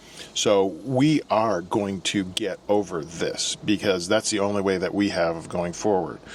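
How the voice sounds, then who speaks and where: Against noticeable background noise, a man with a fairly low pitch talks at a fairly slow pace with hardly any pauses and ordinary pitch variation. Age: 60s. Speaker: YouTube channel co-host. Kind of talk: casual advice talk.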